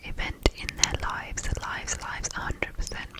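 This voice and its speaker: Noticeable background noise runs through the clip. Through it, a woman whispers. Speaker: ASMR creator. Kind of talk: ASMR reading of facts. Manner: whispered, soft-spoken, slow.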